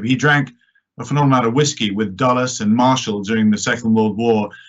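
With an English accent, the speaker talks at a fairly quick pace and keeps the intonation fairly even. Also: man. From born in New York, British politician. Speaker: member of parliament. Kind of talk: panel discussion. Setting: online live-streamed event.

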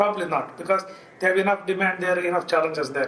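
A man's voice with noticeable background noise. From India, Andhra Pradesh. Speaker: business founder and executive. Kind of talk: interview.

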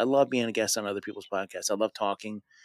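A man with medium pitch speaks in a plain, everyday voice on a very clean recording with a silent background. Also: dry, close sound with no echo. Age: 40s. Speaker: law enforcement veteran and podcaster. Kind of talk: interview.

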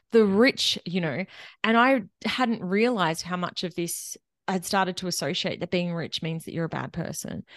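Spoken in an Australian accent at a moderate pace, the voice has ordinary pitch variation, a quiet background and a dry, close sound with no echo. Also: woman, medium pitch for a woman. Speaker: money mentor and accountant. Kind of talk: interview conversation. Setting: remote interview across countries.

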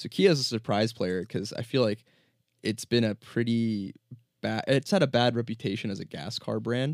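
Recorded very cleanly against a silent background, with dry, close sound and no echo, a man with an American accent speaks in an unremarkable speaking voice at medium pitch. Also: ordinary pitch variation, moderate pace. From New Jersey. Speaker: finance professional. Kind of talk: casual chat. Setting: studio.

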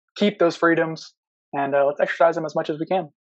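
Speech comes at a very fast pace in an American accent. The background is quiet. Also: man. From US South, Tuscaloosa, Alabama. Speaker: competitive pistol shooter. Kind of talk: casual interview. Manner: hesitant, many fillers.

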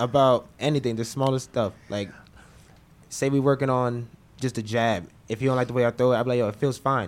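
In an American accent, a man with a medium pitch and an ordinary speaking voice talks at a fairly quick pace with fairly even intonation. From Orlando, Florida. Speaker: professional boxer. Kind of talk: interview. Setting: studio.

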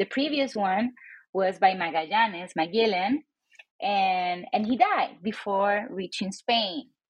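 A woman with a Spanish accent, medium pitch and lively intonation, at a fairly slow pace. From Puerto Rico (Old San Juan). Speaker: professor and author. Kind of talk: interview.

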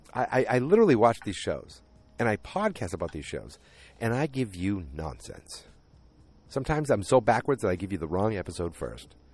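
Animated and fairly quick, a man with a fairly low pitch and vocal fry swings his pitch very widely. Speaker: solo podcast host recapping a TV series. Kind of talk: casual solo recap monologue. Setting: outdoors near home. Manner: rambling; animated, does impressions of characters.

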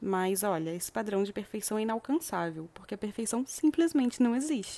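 A woman's medium-pitched voice with a dark, mellow tone, on a very clean recording with a silent background. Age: 20s. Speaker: podcast host, self-development. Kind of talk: reflective monologue.

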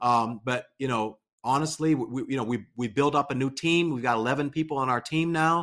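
A man with an American accent and an ordinary speaking voice, medium pitch, ordinary pitch variation, and a fairly quick pace, in a very clean recording with a silent background. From Pittsburgh, Pennsylvania. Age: 40s. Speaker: pastor and YouTuber. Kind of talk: casual interview.

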